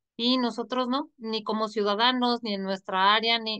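Over a quiet background, a woman speaks in a normal speaking voice. Her pitch is fairly high, with fairly even intonation. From Mexico. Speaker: online show host. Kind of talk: interview. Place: home room. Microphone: video call.

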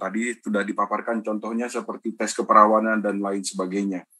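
At a fairly quick pace, a man speaks with a bright, sharp tone. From Indonesia, Medan; Indonesia. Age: 30s. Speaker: university lecturer and moderator; university lecturer, moderator. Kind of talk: webinar moderation. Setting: video call. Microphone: video call.

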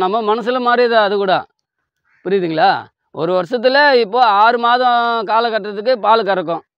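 Against a quiet background, a man speaks at a high pitch with ordinary pitch variation in a dry sound with no echo. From Tiruvallur district, Tamil Nadu; Tamil Nadu. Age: 40s. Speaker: dairy farmer. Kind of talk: interview. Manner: halting. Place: farm.

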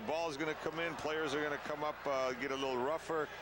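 The speech comes at a fairly quick pace against noticeable background noise. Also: man. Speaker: color commentator, soccer analyst. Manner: conversational, animated.

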